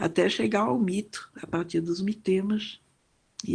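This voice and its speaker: Somewhat breathy, this voice unfolds very slowly. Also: woman. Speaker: professor. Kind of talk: lecture. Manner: hesitant, with many fillers.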